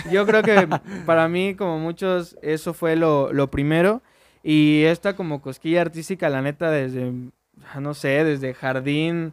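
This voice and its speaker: This is a normal speaking voice with ordinary pitch variation. The pace is fairly slow. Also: man, fairly high pitch for a man. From Mexico, Orizaba, Veracruz. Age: 20s. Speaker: singer-songwriter. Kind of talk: casual chat.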